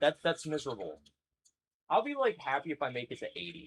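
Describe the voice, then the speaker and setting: Using lively intonation and vocal fry, a man with a fairly high pitch talks at a very fast pace. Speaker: live streamer. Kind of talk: casual live stream chat. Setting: live stream. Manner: halting, repeats words.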